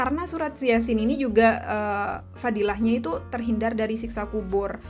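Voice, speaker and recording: Against noticeable background noise, a woman speaks at a moderate pace in a high voice. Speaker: YouTuber, online seller. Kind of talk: podcast monologue, religious advice. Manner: loud; animated.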